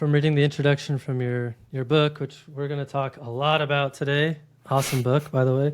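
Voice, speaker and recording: Here is an unremarkable speaking voice, a man with a fairly high pitch. The recording is very clean, the background silent. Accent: American. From Colorado, US. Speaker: podcast host. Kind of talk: podcast interview.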